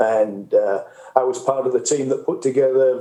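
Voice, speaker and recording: With a northern English accent, a man talks at a moderate pace. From northern England. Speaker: greenhouse industry researcher. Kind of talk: panel discussion. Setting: conference stage.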